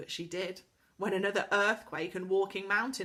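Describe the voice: The recording offers plain reading aloud.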